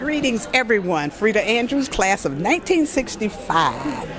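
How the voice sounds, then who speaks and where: A woman's moderate-paced speech is heard with noticeable background noise. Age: 70s. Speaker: high school alumna at class reunion. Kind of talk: interview testimony. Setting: recorded interview at reunion.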